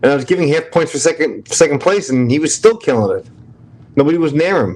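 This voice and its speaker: Talking at a fairly quick pace, a man speaks with a strong New York accent. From New York, Brooklyn. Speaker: livestream host. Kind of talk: casual chat.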